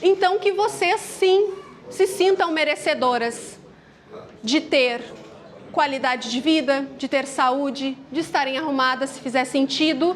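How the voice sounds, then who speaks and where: A high-pitched woman with a gaúcho accent speaks at a fairly slow pace with lively intonation over noticeable background noise. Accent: gaúcho accent, uses tu. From southern Brazil, Rio Grande do Sul. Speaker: motivational speaker. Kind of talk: motivational talk. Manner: casual, conversational.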